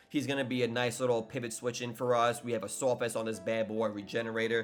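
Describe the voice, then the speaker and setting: Music plays in the background as a man talks at a medium pitch and a fairly quick pace. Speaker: gaming YouTuber and league coach. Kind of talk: tutorial. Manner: fast; casual.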